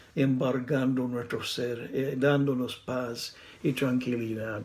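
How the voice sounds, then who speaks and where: Room echo can be heard around the voice. A man talks at a very slow pace. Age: 60s. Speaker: preacher. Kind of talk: sermon. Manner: halting.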